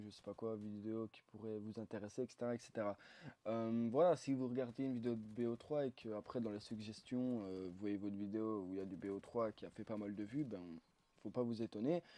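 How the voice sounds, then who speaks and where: Against a quiet background, a man at medium pitch speaks at a moderate pace with ordinary pitch variation. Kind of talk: gameplay commentary. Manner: hesitant, many fillers.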